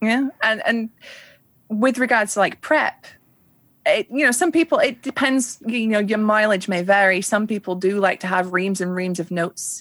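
A woman with a Yorkshire accent speaks at a moderate pace with a fairly high pitch and lively intonation. The recording is very clean with a silent background and a dry, close sound with no echo. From northern England. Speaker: tabletop streamer and illustrator. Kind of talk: interview.

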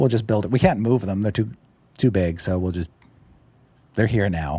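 A man's voice with a dark, mellow tone. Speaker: game writer. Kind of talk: casual chat. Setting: studio.

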